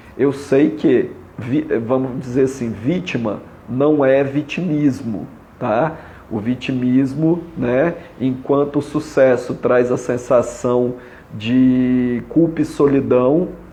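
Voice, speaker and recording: The speech comes at a very slow pace with fairly even intonation. Noticeable background noise sits behind it. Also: man, medium pitch for a man. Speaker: family constellation therapist. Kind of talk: live stream talk. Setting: Instagram live.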